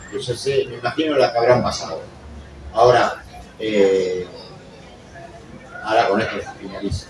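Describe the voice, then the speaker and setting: A man talks at a fairly slow pace. Noticeable background noise and audible room echo fill the recording. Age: 60s. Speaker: audience member. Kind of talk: public comment at book presentation. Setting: book fair presentation with audience. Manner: animated.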